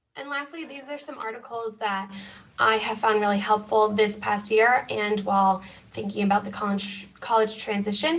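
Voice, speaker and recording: Noticeable background noise sits behind a woman with a fairly high pitch and ordinary pitch variation. She keeps a moderate pace, with big swings in loudness. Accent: American. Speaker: school mental health counselor. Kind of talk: presentation.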